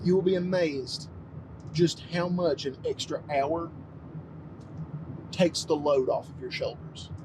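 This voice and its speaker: Fairly high-pitched male voice, fairly even intonation, over noticeable background noise. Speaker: vlogger. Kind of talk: casual monologue vlog.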